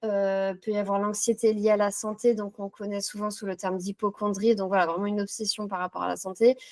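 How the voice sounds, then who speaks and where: A woman at a medium pitch, monotone and flat, fairly quick with hardly any pauses, in a dry, close sound with no echo. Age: 30s. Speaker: psychotherapy practitioner. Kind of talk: interview. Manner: hesitant with frequent fillers.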